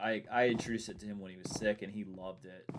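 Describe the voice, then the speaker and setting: Speaking at a fairly quick pace, a man with a Virginia accent keeps a fairly low pitch and fairly even intonation. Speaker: gaming streamer. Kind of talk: casual chat. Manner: halting.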